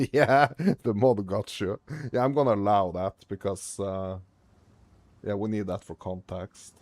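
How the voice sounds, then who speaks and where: A man at a fairly low pitch with ordinary pitch variation and long, frequent pauses, in a dry, close sound with no echo. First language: not English. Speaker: gaming streamer. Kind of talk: casual live-stream chat. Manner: halting, stumbling over pronunciation.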